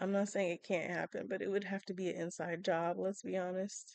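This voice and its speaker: Soft-spoken, a woman talks at a moderate pace and medium pitch with fairly even intonation. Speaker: Sims gaming YouTuber. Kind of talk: casual chat. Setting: at home at night.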